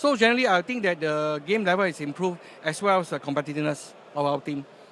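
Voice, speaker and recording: A very fast-paced man's voice, fairly high in pitch, with ordinary pitch variation. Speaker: tabletop gaming team member. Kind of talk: casual interview. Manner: halting.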